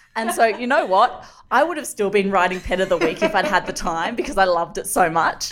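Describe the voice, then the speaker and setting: Noticeable background noise sits under this recording. A woman with an Australian accent speaks at a medium pitch and a fairly quick pace. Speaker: journalist and cancer survivor. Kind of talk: interview. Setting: remote call.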